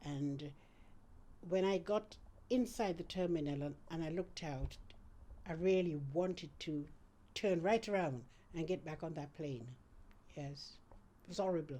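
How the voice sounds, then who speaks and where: Speaking at a fairly slow pace with long, frequent pauses, a woman has a fairly low pitch and a dark, mellow tone. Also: ordinary pitch variation. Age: 70s. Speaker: retired midwife. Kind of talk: interview testimony. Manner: hesitant, repeats words.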